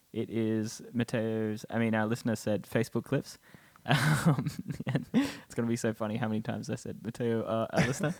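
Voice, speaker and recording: A man speaks at a fairly quick pace with an Australian accent. His pitch is medium, with ordinary variation. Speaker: podcast co-host. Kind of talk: casual chat.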